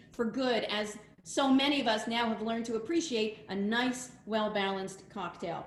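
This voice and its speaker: A woman talks at a moderate pace with ordinary pitch variation amid audible room echo and noticeable background noise. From Quebec, Montreal. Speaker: rabbi. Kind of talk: casual presentation.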